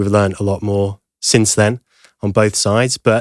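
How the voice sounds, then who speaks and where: Speaking at a moderate pace with a British accent, a man with a fairly low voice is captured in a dry, close sound with no echo, on a very clean recording with a silent background. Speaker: podcast host, former chef. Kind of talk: podcast interview questions.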